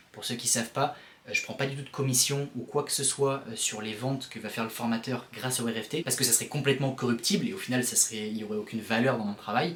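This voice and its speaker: The speech goes at a very fast pace. Noticeable background noise is present. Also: man. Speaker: vlogger and founder of a course-rating service. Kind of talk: casual vlog. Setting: self-recorded on camera. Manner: animated. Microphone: built-in camera mic, poor sound.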